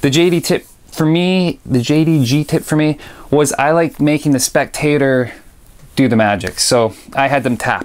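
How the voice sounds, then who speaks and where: Moving at a moderate pace, a man with a fairly high pitch and an unremarkable speaking voice keeps his loudness very even, with ordinary pitch variation. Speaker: magic review show host. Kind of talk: casual video review.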